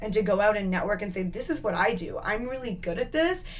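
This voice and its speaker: With a Canadian accent, a woman talks fairly quickly at a medium pitch and ordinary pitch variation, with audible room echo around her. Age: 20s. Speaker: entrepreneur. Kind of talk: interview.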